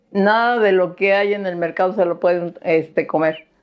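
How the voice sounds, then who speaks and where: In a monotone, flat delivery, a woman talks at a medium pitch. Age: 70s. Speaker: herbalist and natural skincare maker. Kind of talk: casual interview chat. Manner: hesitant fillers.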